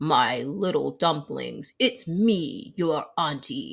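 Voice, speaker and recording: In a very clean recording with a silent background, a man uses a gruff, put-on character voice pitched high and speaks at a very slow pace. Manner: growling, coaxing.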